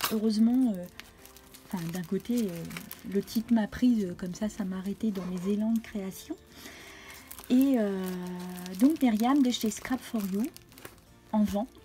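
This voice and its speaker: Noticeable background noise behind a woman's fairly high voice, fairly slow with long, frequent pauses and ordinary pitch variation. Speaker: crafting YouTuber. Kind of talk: casual craft haul video. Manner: hesitant, many fillers.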